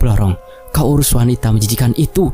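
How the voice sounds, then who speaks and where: A man's put-on character voice at a medium pitch and a fairly quick pace, with clear background noise. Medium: read story. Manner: graceful, calm.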